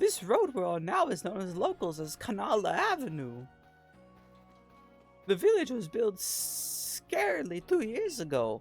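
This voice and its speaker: Over faint background music, a man does a put-on character voice at a high pitch and a moderate pace. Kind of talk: formal, polite.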